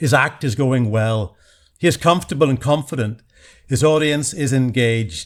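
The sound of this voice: An unforced voice reading, pitch varying in an ordinary way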